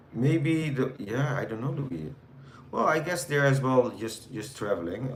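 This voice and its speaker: With a Dutch accent and lively intonation, a man at medium pitch talks at a fairly slow pace amid audible room echo and noticeable background noise. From Netherlands. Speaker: live streamer. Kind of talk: casual chat with live chat viewers. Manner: hesitant, many fillers.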